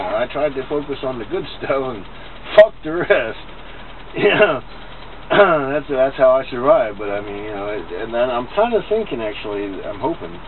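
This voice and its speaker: A man's medium-pitched voice at a moderate pace, with very wide pitch swings, big swings in loudness and noticeable background noise. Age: 40s. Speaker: grandchild interviewing grandmother. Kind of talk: casual family conversation.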